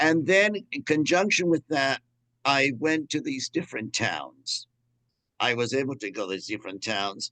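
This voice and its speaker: A man's fairly high, bright, sharp voice with very wide pitch swings at a moderate pace, in a dry, close sound with no echo. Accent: American. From New York, Cuban family. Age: 70s. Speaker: priest and historian. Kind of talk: lecture. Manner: halting, many false starts.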